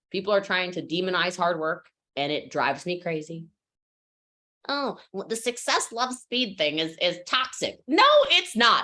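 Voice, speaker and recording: Her voice bright and sharp, a woman with an American accent speaks in an animated tone with very wide pitch swings. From United States. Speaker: network marketing trainer. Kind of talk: motivational training talk. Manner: fast.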